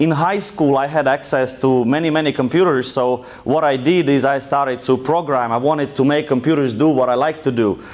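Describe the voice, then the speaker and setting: A man with a strong Russian accent speaks at a fairly high pitch. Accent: thick Russian. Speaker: entrepreneur and guest lecturer. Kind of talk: lecture. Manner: casual, conversational.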